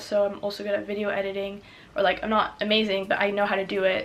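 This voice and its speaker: A woman speaks very fast at a medium pitch in a flat monotone, with noticeable background noise. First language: French. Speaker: student vlogger. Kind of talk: casual advice vlog. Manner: casual, filler-heavy.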